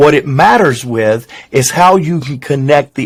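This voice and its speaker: Fairly high pitch from a man, with ordinary pitch variation. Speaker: business executive and communicator. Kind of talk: casual interview conversation. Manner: fast.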